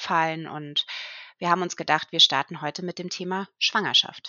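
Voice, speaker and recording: A woman's plain, everyday voice, fairly low in pitch, with fairly even intonation at a moderate pace. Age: 30s. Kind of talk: casual chat.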